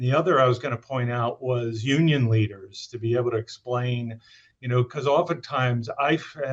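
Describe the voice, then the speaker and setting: At a moderate pace, a man speaks in a somewhat breathy, medium-pitched voice with fairly even intonation. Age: 60s. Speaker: economic impact analyst. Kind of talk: webinar discussion. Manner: hesitant, many fillers.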